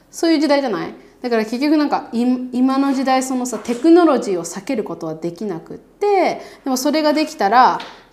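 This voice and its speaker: Audible room echo surrounds a woman as she speaks. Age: 30s. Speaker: podcast co-host and YouTuber. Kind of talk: casual chat. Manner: animated.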